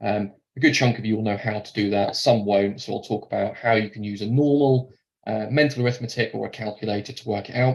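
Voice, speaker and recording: Talking at a very fast pace, a man with a Norfolk accent sounds somewhat breathy, with medium pitch and fairly even intonation. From England, Norfolk. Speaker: mortgage lender account manager. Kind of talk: webinar presentation. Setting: online webinar. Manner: hesitant, many fillers.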